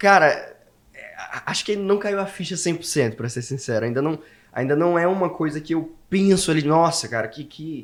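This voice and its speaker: A man with a high-pitched voice talks at a moderate pace with lively intonation. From Brazil, Maranhão (Imperatriz). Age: 20s. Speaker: language school owner, entrepreneur. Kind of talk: casual interview chat.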